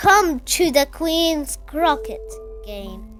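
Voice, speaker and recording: Clear music plays in the background. The speaker uses a put-on character voice. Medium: read story.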